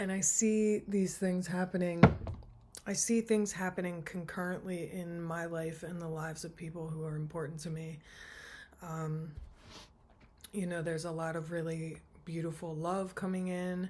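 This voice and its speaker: Soft-spoken and somewhat breathy, a woman with a dark, mellow tone and fairly low pitch talks in a monotone, flat intonation, leaving long, frequent pauses. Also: moderate pace. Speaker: tarot reader. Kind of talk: tarot reading monologue.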